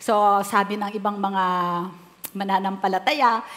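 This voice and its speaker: A woman speaks at a fairly slow pace. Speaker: pastor. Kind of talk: sermon.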